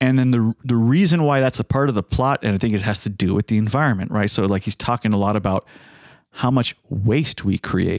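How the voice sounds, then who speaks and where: Pitched in the medium range, a man with an unremarkable speaking voice talks at a fairly quick pace with ordinary pitch variation and very even loudness. The sound is dry and close with no echo, in a very clean recording over a silent background. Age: 30s. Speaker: podcast host. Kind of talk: casual chat.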